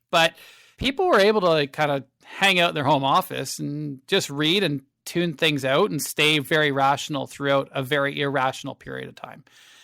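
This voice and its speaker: A man with a Canadian accent speaks at a fairly high pitch with a bright, sharp tone. His pitch varies in an ordinary way, his loudness swings widely, and the recording is very clean with a silent background. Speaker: fund manager. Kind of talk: podcast interview. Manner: fast; halting.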